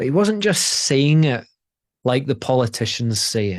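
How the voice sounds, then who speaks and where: A man with a Scottish accent speaks at medium pitch. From Scotland. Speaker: presence and relationship coach. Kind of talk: motivational talk. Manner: repetitive false starts.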